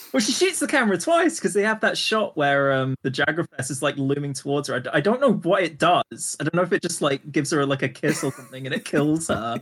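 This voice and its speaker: Amid noticeable background noise, a man with a fairly high voice talks at a very fast pace with hardly any pauses. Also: lively intonation. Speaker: podcast co-host. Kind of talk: casual chat.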